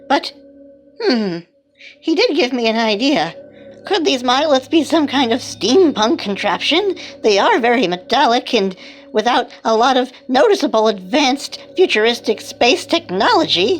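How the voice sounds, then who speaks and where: A female-sounding, put-on character voice speaks at a high pitch. Faint music plays in the background. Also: moderate pace. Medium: comedy sketch. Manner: musing, earnest.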